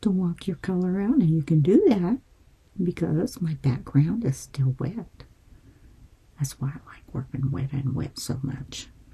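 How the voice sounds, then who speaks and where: Her pitch is very deep and low, with a dark, mellow tone. The woman sounds somewhat breathy and speaks at a fairly slow pace. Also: lively intonation. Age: 70s. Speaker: painting instructor. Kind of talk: tutorial. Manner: casual and chatty.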